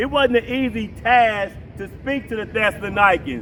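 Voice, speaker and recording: Talking fairly slowly, a man is heard over noticeable background noise. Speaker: street preacher. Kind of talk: open-air sermon. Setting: outdoors in a park.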